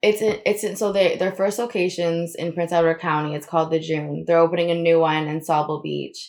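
Fairly quick speech from a woman with an American accent and a plain, everyday voice, fairly low in pitch, with fairly even intonation. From Florida, US. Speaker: designer. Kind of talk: casual chat.

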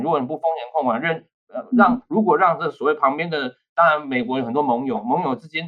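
A man's high-pitched voice at a fairly quick pace, with very wide pitch swings. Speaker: associate professor of diplomacy. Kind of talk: podcast interview, political analysis.

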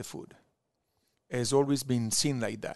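This man has an Italian accent and a medium-pitched voice, recorded with a dry, close sound and no echo. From Italy, Verona. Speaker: wine importer. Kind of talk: casual chat. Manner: animated storyteller.

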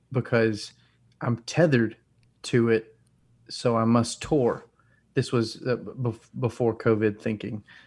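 A man with a Southern US accent speaks at a medium pitch in a flat monotone, at a fairly slow pace with long, frequent pauses, in a very clean recording with a silent background. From US South, North Alabama. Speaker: rock musician. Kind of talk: casual chat.

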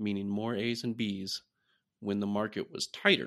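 Bright, sharp male voice, fairly low in pitch, at a moderate pace with fairly even intonation, against a quiet background. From US Midwest, Iowa. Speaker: research scientist. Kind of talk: interview.

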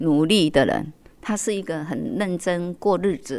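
The recording is very clean, with a silent background. The speaker goes at a very slow pace with lively intonation. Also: woman. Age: 60s. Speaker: community association accountant. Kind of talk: interview. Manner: many filler particles.

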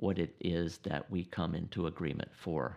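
Against a quiet background, a man with an American accent and vocal fry speaks at a fairly slow pace. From United States. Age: 60s. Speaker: podcast host and Bible teacher. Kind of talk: monologue Bible teaching. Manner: halting, many fillers.

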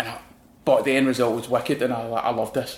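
The speaker talks at a fairly quick pace in a Glaswegian accent. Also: man. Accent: Glaswegian Scottish. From Glasgow, Scotland. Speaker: designer. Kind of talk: casual interview chat. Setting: studio.

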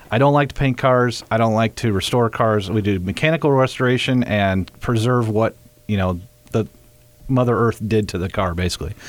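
With ordinary pitch variation, an ordinary speaking voice moves along at a moderate pace. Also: man, medium pitch for a man. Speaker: vintage car restoration shop owner. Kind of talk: casual chat. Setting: studio.

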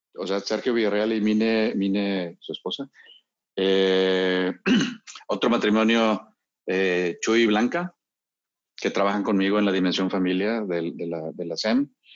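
A man's fairly low voice at a fairly slow pace, fairly even in intonation, with long, frequent pauses. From Monterrey, northern Mexico (born Mexico City). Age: 50s. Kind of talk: casual chat. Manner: halting, many repetitions.

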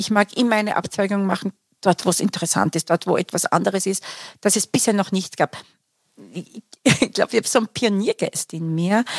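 A woman at medium pitch talks at a fairly quick pace with long, frequent pauses and ordinary pitch variation, in a dry, close recording with no echo. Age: 60s. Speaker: career coach and academy founder. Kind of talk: interview. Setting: studio.

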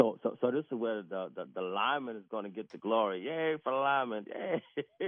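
Hardly pausing at all, a man with a medium pitch speaks at a fairly quick pace with lively intonation. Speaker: caller, military person. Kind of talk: radio call-in. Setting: phone call. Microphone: muffled phone line.

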